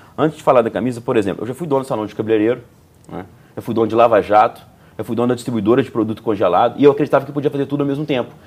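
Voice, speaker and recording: A man at medium pitch with ordinary pitch variation, talking at a very fast pace. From Juiz de Fora, Minas Gerais, Brazil. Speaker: entrepreneur. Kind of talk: interview conversation. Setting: bookstore recording set.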